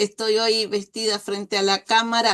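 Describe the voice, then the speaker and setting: A woman with a Uruguayan accent speaks at a fairly high pitch against a quiet background. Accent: Uruguayan Rioplatense Spanish. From Uruguay, Dolores (Soriano). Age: 60s. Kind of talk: interview.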